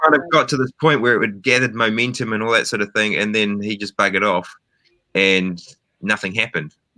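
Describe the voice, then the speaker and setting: In a New Zealand accent, a man speaks very fast at a fairly low pitch, with a bright, sharp tone and ordinary pitch variation. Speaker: film director. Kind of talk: interview. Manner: hesitant, many fillers.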